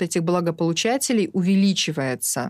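The speaker has an unremarkable speaking voice with ordinary pitch variation and a fairly slow pace. The recording is very clean, with a silent background. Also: woman. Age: 40s. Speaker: social entrepreneur, kindergarten network director. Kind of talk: documentary interview.

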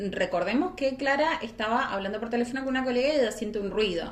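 The speech comes at a very fast pace amid noticeable background noise. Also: woman. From Argentina, San Martín. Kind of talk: casual chat and true crime storytelling.

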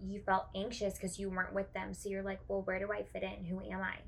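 A woman talks at a fairly quick pace. Her voice carries vocal fry. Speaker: podcast co-host. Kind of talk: casual chat.

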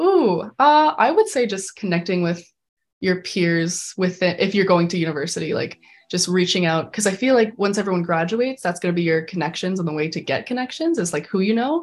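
A woman with an unremarkable speaking voice, medium pitch, lively intonation and fairly quick pace, on a very clean recording with a silent background. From Canada, Calgary, Alberta. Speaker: animation filmmaker, recent art school graduate. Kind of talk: interview. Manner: casual, filler-heavy (like, um).

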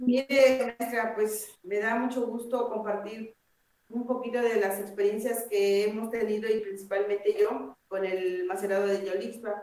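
Her voice sits fairly high and her speech comes fairly slowly. The woman's intonation stays fairly level. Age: 50s. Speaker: herbalist collective member. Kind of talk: interview.

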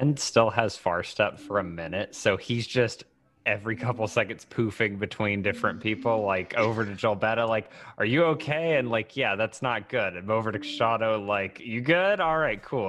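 An ordinary speaking voice from a man, fairly low in pitch with ordinary pitch variation, at a moderate pace over a quiet background. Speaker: tabletop roleplayer and streamer. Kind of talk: tabletop roleplaying game play.

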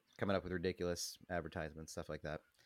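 Very deep, low male voice on a very clean recording with a silent background, dry and close with no echo. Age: 40s. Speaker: podcast co-host. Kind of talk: casual chat.

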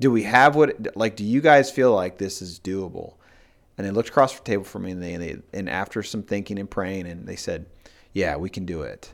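A man with a normal speaking voice talks at a fairly quick pace and fairly low pitch, with lively intonation and big swings in loudness, on a very clean recording with a silent background. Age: 40s. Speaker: pastor. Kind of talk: casual interview.

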